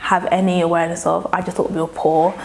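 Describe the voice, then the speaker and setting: A woman's voice over noticeable background noise. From London, England (born in Nigeria). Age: 20s. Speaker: interviewee sharing trauma story. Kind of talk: personal testimony.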